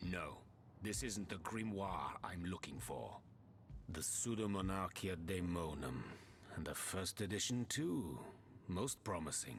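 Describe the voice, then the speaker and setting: A man's put-on character voice, very deep and low, at a fairly slow pace with clear background noise. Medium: video game. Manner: haughty, dismissive.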